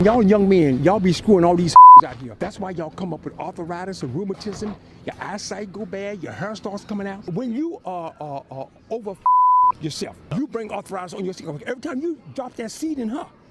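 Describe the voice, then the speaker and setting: Over noticeable background noise, a man talks at a fairly quick pace with a high pitch and lively intonation. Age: 80s+. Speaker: elderly man interviewed on the street. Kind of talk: casual street interview. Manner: halting, repeats words.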